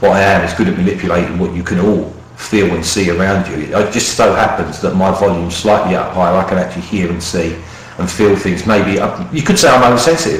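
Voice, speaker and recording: Over noticeable background noise and audible room echo, a man with a fairly low pitch talks at a very fast pace, varying his pitch in an ordinary way. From London, East End. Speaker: radio show host. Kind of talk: casual radio chat. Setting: radio show. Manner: halting, many fillers.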